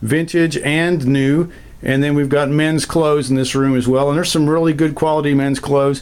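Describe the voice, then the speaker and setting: Fairly high in pitch, a man speaks at a fairly quick pace with fairly even intonation. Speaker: estate sale company owner. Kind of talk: video walkthrough tour. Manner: fast.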